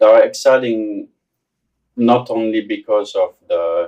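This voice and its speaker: A man speaks with a French accent. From France. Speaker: business executive. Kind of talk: interview. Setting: studio.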